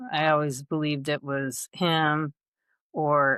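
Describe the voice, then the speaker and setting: Speaking very slowly with an American accent, this voice stays monotone and flat, and the sound is dry and close with no echo on a very clean recording over a silent background. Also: woman. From Michigan, US. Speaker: abuse survivor. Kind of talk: testimony.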